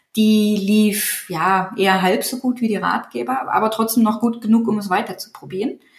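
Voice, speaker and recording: Medium in pitch with fairly even intonation, a woman speaks in an ordinary speaking voice at a moderate pace. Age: 30s. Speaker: digital agency owner and niche site builder. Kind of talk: interview.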